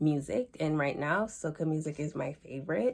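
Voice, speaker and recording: On a very clean recording with a silent background, a woman with a Jamaican accent speaks in a very deep, low pitch. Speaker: student. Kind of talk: class presentation.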